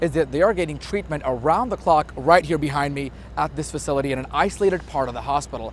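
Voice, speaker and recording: Against noticeable background noise, a man talks with lively intonation. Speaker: TV news reporter. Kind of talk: TV news report. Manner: energetic.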